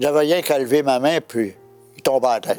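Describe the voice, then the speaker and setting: A man speaks with a Quebec accent at a fairly high pitch. Music plays in the background. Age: 80s+. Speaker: evangelist. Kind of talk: interview answer, personal testimony.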